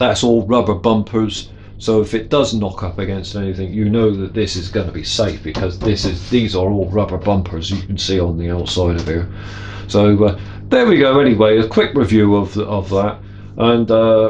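Music plays in the background as a man speaks at a moderate pace. His pitch is fairly low, and his intonation is fairly even. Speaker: workshop hobbyist reviewer. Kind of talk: casual product review chat. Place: workshop.

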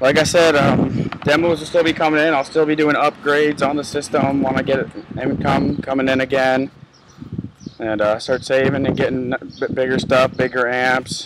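Loud background noise sits behind a man's voice. The sound is dry, with no echo. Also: moderate pace. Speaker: car audio hobbyist vlogger. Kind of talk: casual vlog chat. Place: street. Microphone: phone near.

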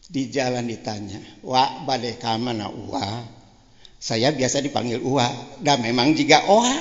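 Over audible room echo, a man speaks at a medium pitch and a fairly slow pace, with ordinary pitch variation and long, frequent pauses. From West Java (Banjar). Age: 70s. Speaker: elder cleric, politician. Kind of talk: religious talk. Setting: religious gathering with audience.

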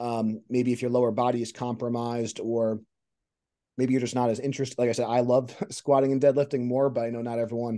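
Against a quiet background, a man talks very fast in a monotone, flat intonation. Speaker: strength coach podcast host. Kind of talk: interview question and commentary. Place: home room. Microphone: video call.

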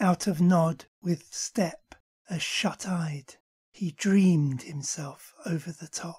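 Somewhat breathy and dramatic in tone, a woman speaks at a very slow pace in a fairly low pitch with ordinary pitch variation. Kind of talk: poetry reading, spoken word. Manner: slow, measured, dramatic.

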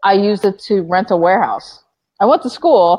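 With an American accent, a woman speaks in an ordinary speaking voice at medium pitch and a moderate pace, with ordinary pitch variation. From US, Florida (Orlando area). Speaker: entrepreneur, company founder. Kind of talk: interview. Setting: video call.

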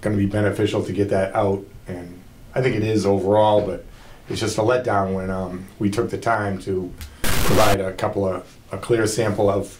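A man's fairly low, monotone voice with flat intonation at a moderate pace, over noticeable background noise. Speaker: water plant operator reporting to commission. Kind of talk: meeting report. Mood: mildly disappointed. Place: meeting room. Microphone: camera far.

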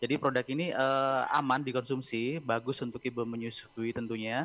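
Speaking at a moderate pace, a man delivers his lines. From East Java. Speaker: pharmaceutical promotion manager; guest. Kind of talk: interview. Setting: video call. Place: home room. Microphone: video call.

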